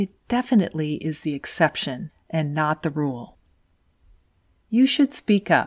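A soft-spoken woman with a very deep, low pitch and very wide pitch swings, at a fairly slow pace with long, frequent pauses, in a dry, close sound with no echo on a very clean recording with a silent background. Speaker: podcast host and engineer career coach. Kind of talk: scripted podcast monologue.

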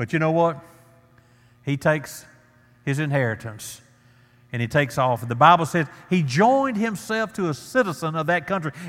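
A man talks with lively intonation, broken up by long, frequent pauses. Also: fairly high pitch for a man, moderate pace. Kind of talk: sermon. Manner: earnest, plain-spoken pulpit delivery with stumbles and restarts; warm, conversational, pleading at the invitation.

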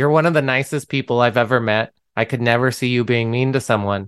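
With an unremarkable speaking voice, a man talks at a moderate pace and medium pitch over a quiet background. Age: 30s. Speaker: podcast host. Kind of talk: casual chat.

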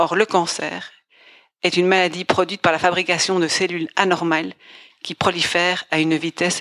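In a dry, close recording with no echo, a woman speaks in a fairly low pitch with monotone, flat intonation. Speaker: storyteller. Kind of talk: scripted narration.

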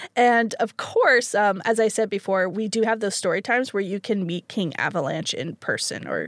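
Pitch varies in an ordinary way as the speaking proceeds at a moderate pace. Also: woman. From Canada. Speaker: library programs coordinator. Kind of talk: casual interview. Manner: animated.

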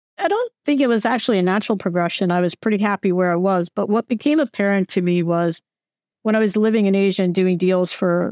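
A woman with an American accent has an unremarkable speaking voice at a medium pitch with ordinary pitch variation. The sound is dry and close with no echo, over a quiet background. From United States. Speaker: venture capital investor. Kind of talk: interview.

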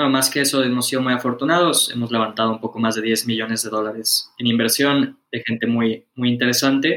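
A man with an unremarkable speaking voice talks at a fairly quick pace, with fairly even intonation and hardly any pauses. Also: medium pitch for a man. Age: 20s. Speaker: startup founder. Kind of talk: interview.

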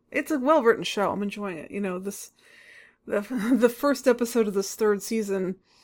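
A woman with an unremarkable speaking voice speaks at a moderate pace, her pitch fairly high with ordinary variation. Her loudness swings widely. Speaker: author and podcast co-host. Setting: remote recording.

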